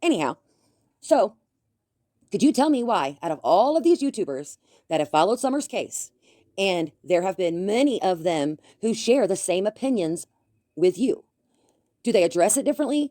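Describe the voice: A woman with a dark, mellow tone speaks in big pitch swings, leaving long, frequent pauses. The recording is very clean and dry, close with no echo, over a silent background. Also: medium pitch for a woman, moderate pace.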